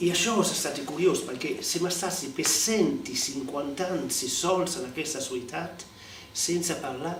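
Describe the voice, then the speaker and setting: Against noticeable background noise, a man talks at a fairly slow pace in a high voice with ordinary pitch variation. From Alghero, Sardinia. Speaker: man of letters. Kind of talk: interview answer.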